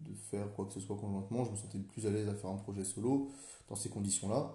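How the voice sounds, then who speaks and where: With a dark, mellow tone and a somewhat breathy quality, a man speaks in a room with audible echo. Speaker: business school student. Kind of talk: solo podcast monologue. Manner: hesitant, many fillers and repetitions.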